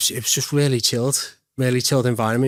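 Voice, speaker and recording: In a very clean recording with a silent background, a man speaks in a flat monotone at a medium pitch. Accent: Liverpool. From Liverpool, England. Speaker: real estate agent. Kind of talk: podcast interview. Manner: casual.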